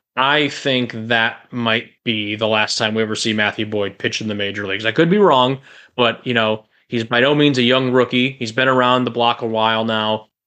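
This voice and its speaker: Using a normal speaking voice, a man speaks with an American accent at a medium pitch. His pace is moderate and his intonation fairly even. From Chicagoland, US Midwest. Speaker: podcast co-host, sports fan. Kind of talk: casual interview.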